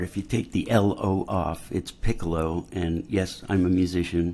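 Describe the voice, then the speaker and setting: A man's dark, mellow tone with fairly even intonation. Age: 60s. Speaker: musician and music teacher. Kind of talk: public comment. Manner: passionate.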